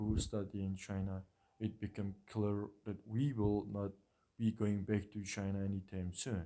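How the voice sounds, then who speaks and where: Speaking at a fairly slow pace, a man uses a fairly low pitch and a dark, mellow tone with monotone, flat intonation. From Mongolia. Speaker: international student. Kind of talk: prepared speech. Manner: halting.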